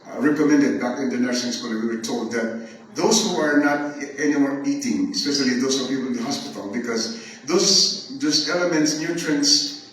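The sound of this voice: With strong room echo around him, a man speaks at a medium pitch and moderate pace, his tone fairly bright and his pitch variation ordinary.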